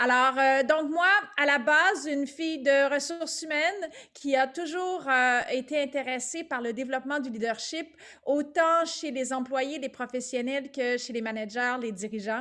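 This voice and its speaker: A woman's raised, projected voice, high in pitch with a bright, sharp tone, ordinary pitch variation and a fairly slow pace. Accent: Quebec. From Quebec. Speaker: business owner, leadership consultant. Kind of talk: webinar presentation.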